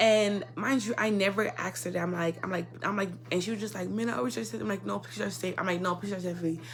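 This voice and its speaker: A woman talks very fast with hardly any pauses, her fairly low pitch swinging very widely. Noticeable background noise is present. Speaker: YouTuber. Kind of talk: casual storytime monologue. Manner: stutters a lot.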